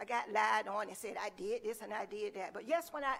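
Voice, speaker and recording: A woman is speaking. Her intonation is lively. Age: 60s. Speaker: retired educator and substitute teacher speaking at public comment. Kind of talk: public comment at a school board meeting. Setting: school board meeting. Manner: emotional, impassioned.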